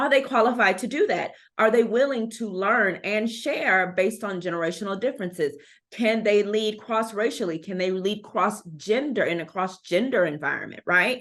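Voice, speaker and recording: Against a quiet background, a woman with a normal speaking voice talks at a moderate pace in a fairly high pitch with ordinary pitch variation. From Texas, Houston. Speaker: anti-racist educator and consultant. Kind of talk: podcast interview.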